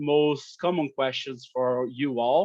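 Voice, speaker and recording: A man with a Brazilian accent speaks at a moderate pace, his fairly high voice keeping a fairly even intonation. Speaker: company operations director. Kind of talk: webinar presentation. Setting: video call webinar. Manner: halting, many fillers.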